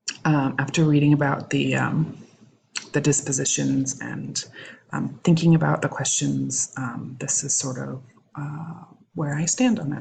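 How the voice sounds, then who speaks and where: A woman speaks quietly. Her pace is fairly slow. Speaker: education student. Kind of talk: recorded assignment reflection. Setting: home recording at night. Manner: halting with many fillers.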